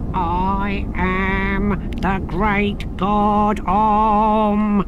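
Loud background noise surrounds a put-on character voice with fairly high pitch. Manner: menacing.

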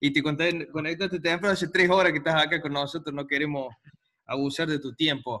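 Against a quiet background, a man with a normal speaking voice talks at a fairly high pitch and moderate pace, his intonation fairly even. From Argentina. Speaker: chess course organizer; host or moderator of online chess talk. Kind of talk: casual moderation; moderator remarks in online talk. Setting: video call. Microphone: video call.

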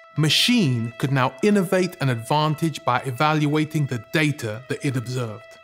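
A man speaks at a fairly high pitch with ordinary pitch variation. Faint music plays in the background. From UK. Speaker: spoken word poet and radio presenter. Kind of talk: poem performed on film. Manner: rhythmic, performed.

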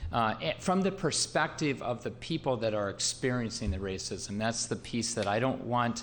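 A man talks at a moderate pace with a medium pitch. His intonation is lively, and he hardly pauses. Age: 60s. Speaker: city mayor. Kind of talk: council meeting discussion. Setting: council chamber. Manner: halting, many fillers.

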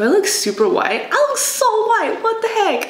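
The background carries noticeable noise. The speaker is a woman. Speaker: beauty and fashion vlogger. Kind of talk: casual talk to camera.

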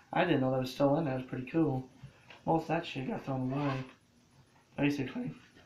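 Medium-pitched male voice with a slightly mellow tone and fairly even intonation, plus audible room echo. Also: fairly quick pace.

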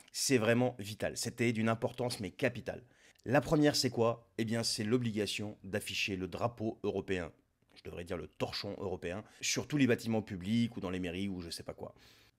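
Against a quiet background, a man speaks with ordinary pitch variation and big swings in loudness. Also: moderate pace. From Lebanon. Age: 40s. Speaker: political commentator. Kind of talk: political monologue. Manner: sarcastic. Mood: sarcastic, mocking. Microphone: studio mic.

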